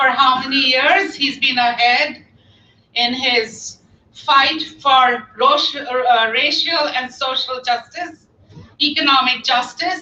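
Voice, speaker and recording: A woman's high, raised and projected voice at a very slow pace. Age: 60s. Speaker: campaign volunteer organizer. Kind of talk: rally speech. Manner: animated.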